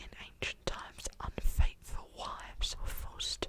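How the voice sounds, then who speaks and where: Whispered words come at a fairly slow pace, with noticeable background noise around them. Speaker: ASMR creator. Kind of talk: whispered ASMR fact reading.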